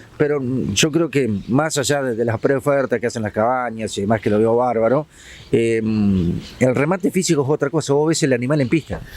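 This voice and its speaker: The speaker is a man with an Entre Ríos Argentine accent. He talks at a fairly quick pace. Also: medium pitch for a man, ordinary pitch variation. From Argentina, Gualeguaychú, Entre Ríos. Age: 60s. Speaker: TV news host. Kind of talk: interview.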